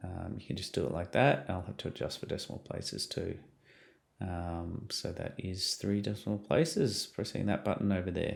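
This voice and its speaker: A man's very deep, low voice with an Australian accent and vocal fry, at a moderate pace with ordinary pitch variation. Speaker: science teacher. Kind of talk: tutorial. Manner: hesitant, many fillers.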